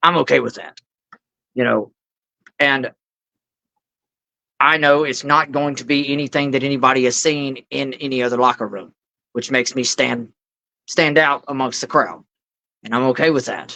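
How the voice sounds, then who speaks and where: Long pauses break up the speech often. Between them, the tempo is medium. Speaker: professional wrestler. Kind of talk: interview answer. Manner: casual, talkative.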